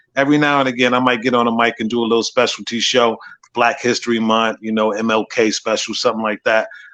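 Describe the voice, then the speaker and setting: The speech runs at a very fast pace in a monotone, flat intonation. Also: man, medium pitch for a man. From Minnesota, Minneapolis. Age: 50s. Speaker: radio production manager and hip hop veteran. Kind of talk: casual interview.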